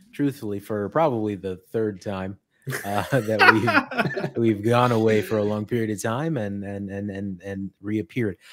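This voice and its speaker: A man speaks at a moderate pace. Background noise is noticeable behind him. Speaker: podcast co-host. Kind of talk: casual podcast chat. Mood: cheerful, laughing often. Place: home room. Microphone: studio mic.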